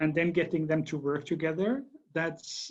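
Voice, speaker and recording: Fairly even intonation in a fairly high male voice. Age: 60s. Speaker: battery company executive. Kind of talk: interview. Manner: halting.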